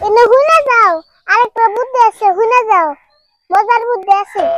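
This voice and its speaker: A woman does a put-on character voice at an extremely high pitch. The sound is dry and close with no echo, and the pace is moderate. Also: ordinary pitch variation. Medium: comedy sketch. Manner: playful, teasing.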